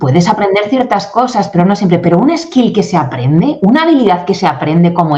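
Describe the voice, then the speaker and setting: A woman at medium pitch speaks with very wide pitch swings. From Spain. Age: 40s. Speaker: English communication coach and company founder. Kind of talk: interview. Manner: animated.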